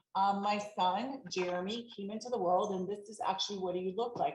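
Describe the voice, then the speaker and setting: Somewhat breathy speech at a fairly quick pace, with ordinary pitch variation. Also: woman. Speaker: elder law attorney. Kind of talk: webinar presentation. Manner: fast.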